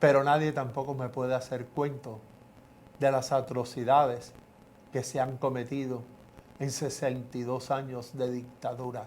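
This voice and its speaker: Long, frequent pauses break up this man's fairly slow speech. His medium-pitched voice stays monotone, with flat intonation. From Cuba. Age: 70s. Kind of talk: testimony.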